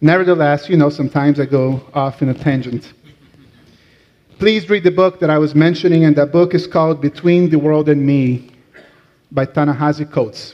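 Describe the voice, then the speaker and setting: A man with a Latin American accent speaks at a moderate pace in a fairly high pitch. His intonation is fairly even and his loudness very even. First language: Portuguese. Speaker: rabbi. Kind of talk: sermon.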